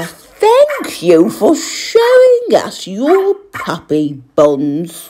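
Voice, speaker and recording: A woman's put-on character voice at a very slow pace, with hardly any pauses. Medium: read story. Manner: enthusiastic, sweet.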